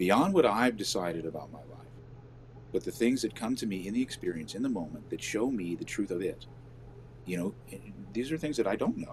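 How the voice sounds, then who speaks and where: Speaking at a fairly quick pace, a man with an unremarkable speaking voice uses lively intonation at a medium pitch, with big swings in loudness. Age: 60s. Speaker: live show co-host. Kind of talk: casual chat.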